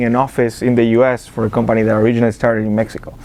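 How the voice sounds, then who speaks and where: A man with an Argentine accent speaks at a medium pitch over noticeable background noise. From Argentina. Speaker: business accelerator director. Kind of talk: interview. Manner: halting, many fillers and repetitions.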